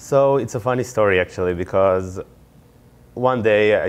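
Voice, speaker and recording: With a non-native accent, the speaker shows ordinary variation in pitch. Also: man. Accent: foreign. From Israel. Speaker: MBA student and startup founder. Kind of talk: interview.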